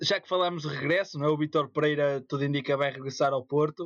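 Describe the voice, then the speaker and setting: An unremarkable speaking voice at a fairly quick pace with fairly even intonation, in a dry, close sound with no echo. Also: man. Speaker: podcast co-host. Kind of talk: casual chat.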